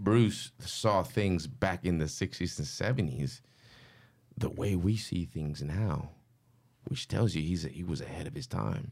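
In a very clean recording with a silent background, a man speaks fairly slowly in a very deep, low voice with vocal fry and very wide pitch swings. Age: 30s. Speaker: graffiti artist. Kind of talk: casual chat.

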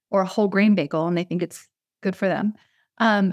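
This woman's pitch is medium, with ordinary pitch variation. The recording is very clean, with a silent background and a dry, close sound with no echo. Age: 40s. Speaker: wellness coach and author. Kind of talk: casual chat.

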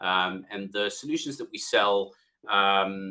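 A man speaks with a South African accent. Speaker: software company CEO. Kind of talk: business podcast interview.

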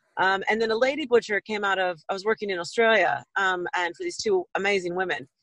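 A woman with an American accent and an unremarkable speaking voice talks at a fairly quick pace with hardly any pauses, medium pitch and ordinary pitch variation. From US West Coast. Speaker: butcher and chef. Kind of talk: casual interview.

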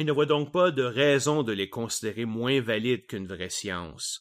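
A man talks at a fairly slow pace with a Quebec accent. His medium pitch shows ordinary variation. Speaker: science podcast host. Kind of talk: educational monologue. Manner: casual.

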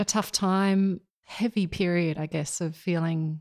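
A woman's fairly low voice, fairly slow and fairly even in intonation, on a very clean recording with a silent background. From Australia, rural New South Wales. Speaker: war veteran. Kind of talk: interview. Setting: at home.

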